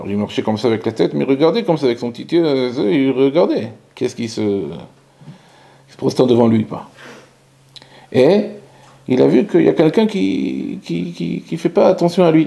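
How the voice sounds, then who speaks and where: A man's medium-pitched voice at a moderate pace, with big swings in loudness and very wide pitch swings. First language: Hebrew (speaking French). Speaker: rabbi. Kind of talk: Torah lecture. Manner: halting; animated.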